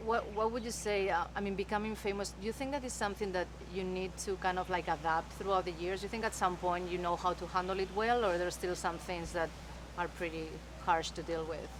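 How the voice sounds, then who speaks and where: Amid noticeable background noise, a woman with a Spanish accent talks at a fairly quick pace. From Spain, Madrid. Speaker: entertainment journalist. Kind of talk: interview.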